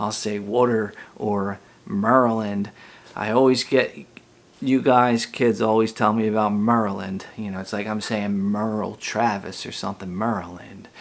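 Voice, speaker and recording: The man talks with a Philadelphia accent. His intonation is monotone and flat. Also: moderate pace. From US Northeast, Philadelphia. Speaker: elementary school teacher. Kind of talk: recorded class talk to pupils. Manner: casual, with frequent fillers.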